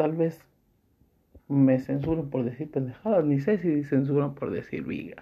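A man speaks at a fairly slow pace with a fairly high pitch. It is an unremarkable speaking voice with ordinary pitch variation. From Mexico, León, Guanajuato. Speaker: podcaster. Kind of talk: personal monologue of reflections.

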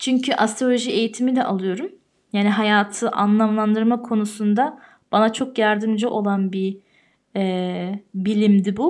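Recorded very cleanly against a silent background, a woman speaks at a fairly slow pace with fairly even intonation. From Austria (Tyrol). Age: 30s. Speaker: podcast host. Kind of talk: solo monologue podcast.

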